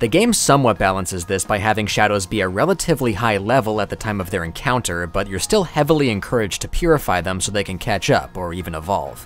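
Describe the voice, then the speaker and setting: Over noticeable background noise, a man with a fairly low pitch talks at a very fast pace with lively intonation and hardly any pauses. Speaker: gaming video essayist. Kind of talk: scripted narration.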